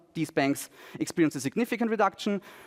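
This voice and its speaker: The recording is dry and close with no echo, and the man in it talks very fast. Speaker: economics researcher presenting a paper. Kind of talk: conference presentation. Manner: halting with many fillers and restarts.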